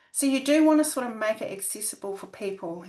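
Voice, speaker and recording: With a New Zealand accent, a woman speaks in lively intonation. The background is quiet. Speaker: academic researcher. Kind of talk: webinar presentation. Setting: video call. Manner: halting, many fillers.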